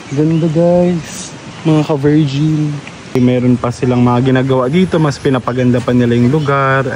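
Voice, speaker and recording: Noticeable background noise runs under the recording. A man talks at a moderate pace with ordinary pitch variation. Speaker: travel vlogger. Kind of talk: casual vlog narration. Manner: soft-spoken.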